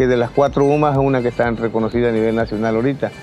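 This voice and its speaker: With music in the background, a voice races along at a very fast pace with fairly even intonation. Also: man. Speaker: ejido leader. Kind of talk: interview. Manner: halting.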